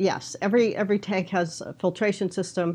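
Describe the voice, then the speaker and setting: A woman speaks with a monotone, flat intonation. The background is quiet. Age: 60s. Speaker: float tank business consultant. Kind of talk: interview.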